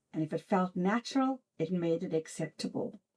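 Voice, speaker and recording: A somewhat breathy voice with an American accent comes through in a dry, close sound with no echo. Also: woman. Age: old. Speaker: author. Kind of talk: reflective talk to camera. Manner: earnest, heartfelt.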